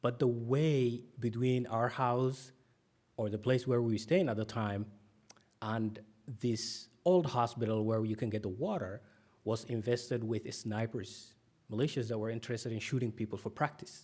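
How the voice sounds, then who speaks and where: A man with a Somali accent speaks at a moderate pace in a medium-pitched voice. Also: ordinary pitch variation. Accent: Somali accent, P and B sound alike. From Somalia. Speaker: author. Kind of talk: conference talk. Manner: many fillers (um, uh).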